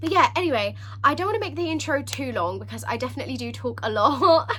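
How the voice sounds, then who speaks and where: Noticeable background noise and audible room echo fill the recording. A woman speaks at a fairly quick pace. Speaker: book vlogger. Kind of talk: casual vlog talk. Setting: filming at home with a ring light. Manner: animated.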